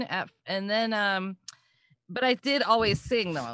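A woman with an American accent, medium-pitched with a bright, sharp tone, at a fairly slow pace against a quiet background. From US Midwest (Wisconsin). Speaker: vocal coach. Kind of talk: casual interview.

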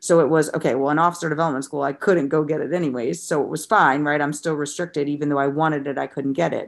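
Over a quiet background, a woman with an American accent speaks at a very deep, low pitch with fairly even intonation. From US Midwest, St. Louis, Missouri. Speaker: dietitian and wellness coach. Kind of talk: podcast interview.

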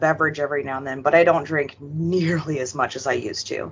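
Her pitch very deep and low, a woman speaks with a Canadian accent. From New Brunswick and British Columbia, Canada. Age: 30s. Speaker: podcast guest sharing mental health story. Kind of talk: personal testimony in interview.

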